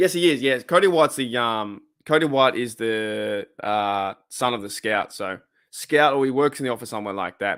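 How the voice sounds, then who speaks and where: A man with an Australian accent speaks at a medium pitch and a moderate pace with lively intonation, in a very clean recording with a silent background. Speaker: sports fan livestream host. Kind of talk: casual livestream chat. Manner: casual, halting with many restarts.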